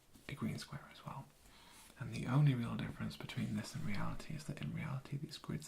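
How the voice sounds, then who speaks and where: Someone speaks at a fairly quick pace with noticeable background noise behind them. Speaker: ASMR educator explaining computer hardware. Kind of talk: educational talk, soft spoken ASMR lesson. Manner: soft-spoken.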